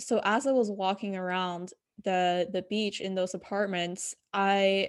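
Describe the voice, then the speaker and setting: Against a quiet background, an unremarkable speaking voice proceeds at a fairly slow pace. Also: woman. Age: young. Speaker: fitness and life coach. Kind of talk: casual interview.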